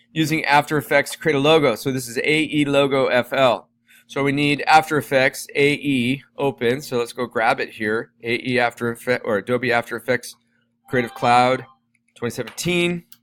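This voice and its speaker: Here is a plain, everyday voice, keeping fairly even intonation and a moderate pace. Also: man, medium pitch for a man, dry, close sound with no echo. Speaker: teacher. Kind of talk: tutorial.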